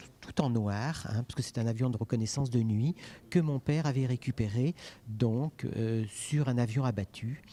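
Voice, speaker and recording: A dark, mellow tone with ordinary pitch variation on a very clean recording with a silent background. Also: man. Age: 60s. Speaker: private collector, son of a WWI veteran. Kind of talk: on-site interview. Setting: exhibition gallery.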